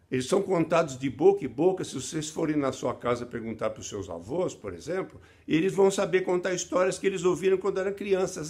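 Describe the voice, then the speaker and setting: Lively intonation marks this man's high-pitched voice. He speaks at a fairly quick pace. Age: 70s. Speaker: children's book author. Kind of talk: recorded video message to students. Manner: halting, with many fillers.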